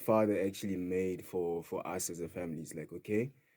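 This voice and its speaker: Speaking with a Sotho accent, a man has a fairly low pitch and a dark, mellow tone. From South Africa, Free State (Kroonstad). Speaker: DJ and house music producer. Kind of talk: radio interview. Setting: radio studio.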